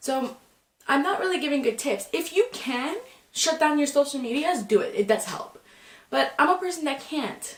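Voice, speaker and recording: Loud and high-pitched, a woman talks at a moderate pace. Her pitch swings very widely. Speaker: student. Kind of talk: casual talk to camera.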